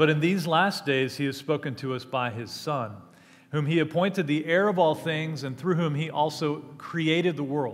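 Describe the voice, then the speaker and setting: At a moderate pace, a man speaks with ordinary pitch variation. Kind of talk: call to worship, scripture reading and prayer. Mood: warm, reverent. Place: church. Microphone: headset.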